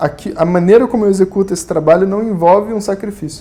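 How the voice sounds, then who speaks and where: Speaking at a moderate pace, a man uses a high-pitched, dark, mellow tone with ordinary pitch variation. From Rio de Janeiro, Brazil. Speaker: Vedanta teacher. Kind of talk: spiritual lecture. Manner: casual, conversational.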